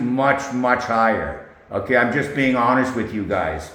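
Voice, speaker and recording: A man talks at a moderate pace, with noticeable background noise and audible room echo around him. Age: 60s. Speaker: UFC betting predictions youtuber. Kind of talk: casual vlog talk to camera. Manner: rambling, filler-heavy.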